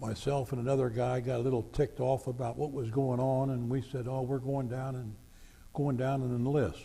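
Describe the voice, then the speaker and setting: Speaking at a fairly quick pace, a man with a medium-pitched, dark, mellow and somewhat breathy voice keeps a monotone, flat intonation. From Greater Cincinnati (northern Kentucky/southwest Ohio). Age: 80s+. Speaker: war veteran. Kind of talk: oral history interview.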